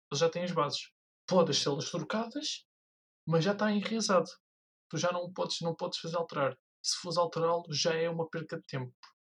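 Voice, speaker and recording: A man with a high pitch talks at a moderate pace with ordinary pitch variation. He leaves long, frequent pauses. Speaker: podcast co-host. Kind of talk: casual chat.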